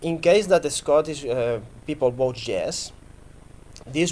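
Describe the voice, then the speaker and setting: With a Catalan accent, a man speaks at a fairly high pitch. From Catalonia, Spain. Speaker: political representative. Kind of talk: panel interview. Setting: stage with audience.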